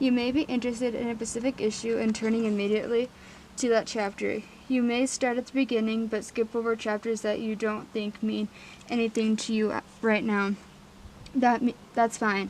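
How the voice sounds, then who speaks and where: A woman speaks at a moderate pace with a fairly high pitch and monotone, flat intonation. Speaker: audiobook reader. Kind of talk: book reading aloud. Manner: hesitant, stuttering.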